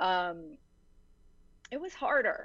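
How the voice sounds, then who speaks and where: A woman with an American accent, very slow pace and very wide pitch swings. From Virginia. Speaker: novelist. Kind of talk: interview.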